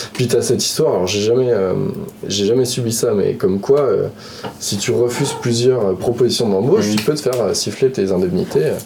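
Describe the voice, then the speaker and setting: Amid noticeable background noise and audible room echo, a man of medium pitch speaks at a moderate pace with lively intonation. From France, Lyon. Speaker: video game artist. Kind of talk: casual chat.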